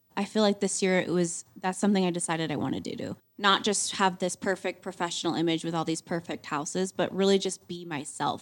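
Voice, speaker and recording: A woman's plain, everyday voice with an American accent, medium in pitch, fairly quick and fairly even, with hardly any pauses, on a very clean recording with a silent background. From Montana, US. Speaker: realtor. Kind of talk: casual chat.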